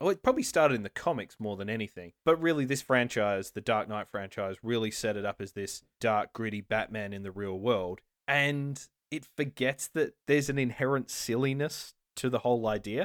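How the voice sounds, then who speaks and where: A man with a normal speaking voice at a medium pitch, ordinary pitch variation and a moderate pace, on a very clean recording with a silent background. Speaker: podcast host. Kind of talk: casual chat.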